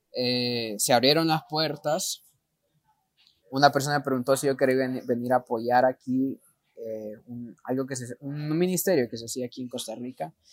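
A man with an ordinary speaking voice and medium pitch talks at a moderate pace with big swings in loudness, recorded with a dry, close sound with no echo. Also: ordinary pitch variation. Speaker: missionary. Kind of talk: interview.

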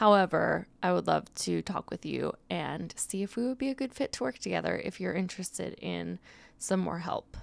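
The recording is very clean and the background silent. A woman talks at a moderate pace. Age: 20s. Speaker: podcast host and nutrition coach. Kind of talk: casual solo podcast talk.

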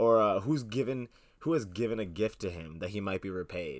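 In a very clean recording with a silent background, a plain, everyday voice moves at a fairly quick pace with ordinary pitch variation. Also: man. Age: young. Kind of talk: casual Bible discussion.

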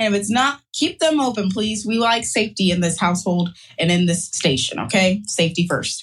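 Somewhat breathy and at a medium pitch, a woman talks at a fairly quick pace with lively intonation and very even loudness. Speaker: life coach. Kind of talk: guided affirmation and breathing exercises. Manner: animated.

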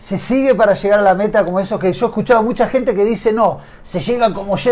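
Fairly quick and high-pitched, a man speaks with ordinary pitch variation. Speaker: triathlon show host. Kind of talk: interview.

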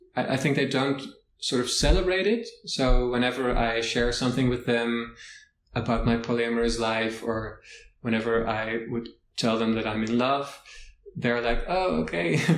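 A man speaks with a Dutch accent. His pitch sits in the medium range. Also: ordinary pitch variation, moderate pace. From Netherlands. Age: 20s. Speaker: podcast guest. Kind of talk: interview.

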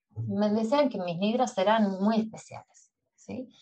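A somewhat breathy voice at a very slow pace, with ordinary pitch variation. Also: woman. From Uruguay, Montevideo. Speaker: yoga nidra teacher and sleep coach. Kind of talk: interview conversation.

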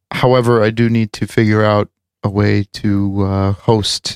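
A man with an unremarkable speaking voice talks at a fairly low pitch with fairly even intonation. The recording is very clean, dry and close, with no echo and a silent background. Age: 30s. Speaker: podcast host. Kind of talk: casual chat.

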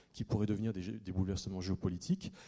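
Dark and mellow in tone, a man speaks at a fairly quick pace. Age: 30s. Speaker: investigative journalist and author. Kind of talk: lecture; audience Q&A answers. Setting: conference hall with audience.

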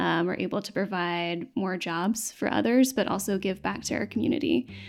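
A woman with an American accent and vocal fry speaks at a fairly quick pace with ordinary pitch variation. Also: very clean recording, silent background. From East Tennessee, Knoxville. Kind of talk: interview conversation.

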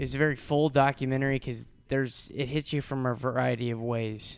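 A man with an American accent and a plain, everyday voice speaks at a moderate pace, his medium pitch carrying fairly even intonation. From US Midwest (St. Louis, Missouri). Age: 20s. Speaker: podcast host. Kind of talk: casual chat.

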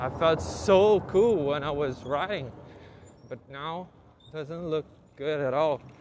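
Speaking very slowly with long, frequent pauses, a man with a Portuguese accent uses a fairly high pitch and ordinary pitch variation. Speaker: podcaster learning English. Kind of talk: solo monologue. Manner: halting.

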